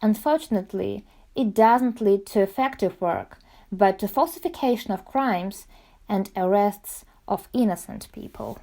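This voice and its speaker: A woman with a Russian accent speaks in a dark, mellow tone on a very clean recording with a silent background. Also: medium pitch for a woman, ordinary pitch variation, moderate pace. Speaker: student journalist. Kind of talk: scripted narration.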